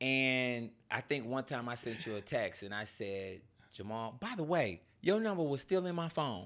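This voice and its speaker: With medium pitch and very wide pitch swings, a man speaks at a moderate pace in a very clean recording with a silent background. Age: 50s. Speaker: podcast host. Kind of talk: casual chat.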